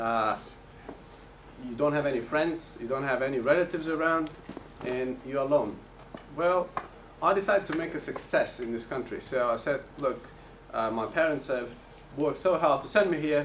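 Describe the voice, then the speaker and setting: Speech with a non-native accent at a moderate pace, ordinary pitch variation, long, frequent pauses and noticeable background noise. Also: man, fairly high pitch for a man. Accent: foreign. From Bulgaria, Turkish family. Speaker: property investor. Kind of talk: seminar presentation. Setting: hotel event with audience.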